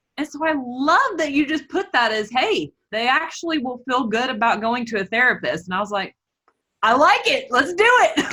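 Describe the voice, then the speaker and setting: In a raised, projected voice, a woman with a Southern accent speaks at a moderate pace, her high pitch making very wide swings and her tone bright and sharp. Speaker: body image and food coach. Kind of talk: casual interview.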